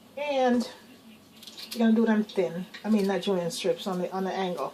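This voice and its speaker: With noticeable background noise behind her, a woman speaks at a medium pitch with ordinary pitch variation. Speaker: cooking video host. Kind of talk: cooking demonstration. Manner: fast; casual, chatty.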